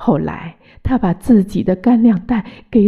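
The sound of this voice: Reading in an unforced reading voice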